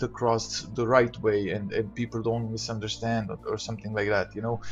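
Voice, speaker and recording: A somewhat breathy voice with a non-native accent. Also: man. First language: not English. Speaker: gaming youtuber. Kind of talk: casual monologue rant. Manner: halting, many fillers.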